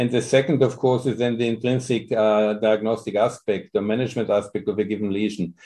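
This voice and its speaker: This man speaks with a German accent at a medium pitch. His pace is fairly quick and his intonation fairly even. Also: hardly any pauses. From Austria. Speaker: dermatology professor. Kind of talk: interview.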